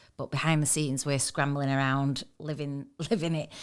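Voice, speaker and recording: A woman with a Mancunian accent talks at a fairly quick clip in a very deep, low voice, recorded very cleanly against a silent background. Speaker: magazine co-founder and podcast host. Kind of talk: casual podcast chat.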